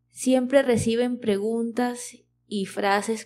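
Fairly high-pitched and dark, mellow in tone, a woman's voice moves with fairly even intonation. Her pace is very slow. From Venezuela. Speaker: Spanish teacher, podcast host. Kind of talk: educational podcast narration for learners. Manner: clear, measured pace for learners.

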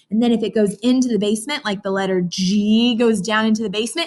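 At a very fast pace, a woman talks in a somewhat breathy voice with ordinary pitch variation. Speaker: teacher. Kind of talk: lesson for young children. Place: classroom. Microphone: webcam.

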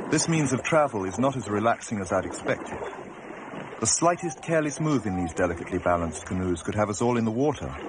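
Against noticeable background noise, a man at medium pitch talks very fast with very wide pitch swings. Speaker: documentary filmmaker and narrator. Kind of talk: 1988 documentary narration, scripted voice-over.

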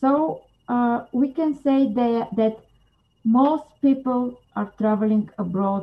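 Speaking at a very slow pace, a woman with a Bulgarian accent sounds somewhat breathy, with ordinary pitch variation. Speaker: psychologist and anti-trafficking coordinator. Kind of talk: interview. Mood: serious, thoughtful. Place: home room. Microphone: video call.

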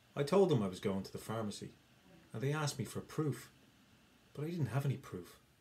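Somewhat breathy, a man with an Irish accent talks at a fairly quick pace with lively intonation. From Ireland. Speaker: English teacher. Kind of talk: educational explainer to camera.

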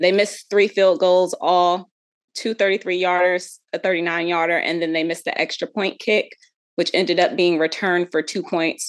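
A woman speaks at a moderate pace in a fairly low voice. The background is quiet. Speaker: guest. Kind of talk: commentary. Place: home room. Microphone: video call.

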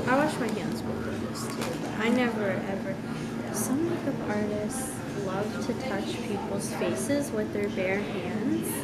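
A woman speaks at a fairly slow pace with ordinary pitch variation. Loud background noise runs underneath. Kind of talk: casual vlog chat. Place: cafe. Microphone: camera far.

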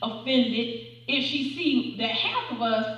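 There is audible room echo around a woman speaking at a high pitch. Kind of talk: sermon. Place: church. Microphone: camera far.

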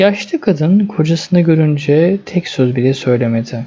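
A man with a dark, mellow tone speaks at a moderate pace, his pitch fairly high with ordinary variation.

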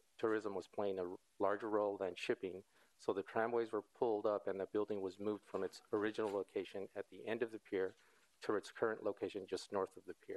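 Fairly quick, monotone speech from a man with a fairly low pitch and flat intonation. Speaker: presenter. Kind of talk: formal presentation. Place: hall.

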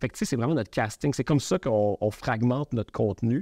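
A man's dark, mellow voice with a Quebec accent and ordinary pitch variation, dry with no echo, over a quiet background. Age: 40s. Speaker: media entrepreneur; podcast guest. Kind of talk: interview. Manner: halting. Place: studio.

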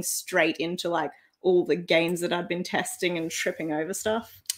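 A woman with an Australian accent, speaking at a fairly quick pace against a quiet background. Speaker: online reseller, channel co-host. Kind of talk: casual live stream chat. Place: home room.

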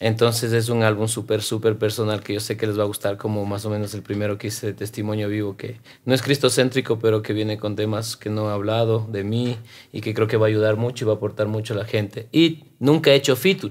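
At a very fast pace, a man with a fairly low voice talks in fairly even intonation. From Quito, Ecuador (south); Ecuador. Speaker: rapper and actor; actor. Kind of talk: interview conversation. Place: studio. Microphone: studio mic.

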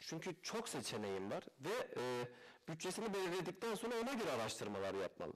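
A man speaks at a fairly quick pace. His loudness stays very even. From Turkey, Malatya; Turkey. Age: 20s. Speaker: used car dealer. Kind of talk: interview. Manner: hesitant, many fillers. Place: studio. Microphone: headset.

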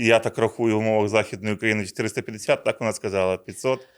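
On a very clean recording with a silent background, a man with an ordinary speaking voice talks at a moderate pace. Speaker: regional seed product manager. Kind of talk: conversational agronomy talk show. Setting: studio.

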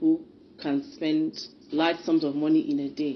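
A woman's very deep, low voice with a Nigerian accent and fairly even intonation, over light background noise. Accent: Nigerian Igbo English. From Nigeria, Anambra State (Igbo). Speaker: politician. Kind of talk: public statement. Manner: formal. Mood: critical, accusing. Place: home room. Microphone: phone near.

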